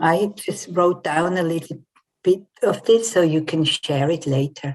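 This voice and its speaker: In a plain, everyday voice, a woman speaks at a fairly low pitch with ordinary pitch variation. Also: fairly slow pace. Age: 60s. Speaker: coach and trauma therapist. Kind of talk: online talk.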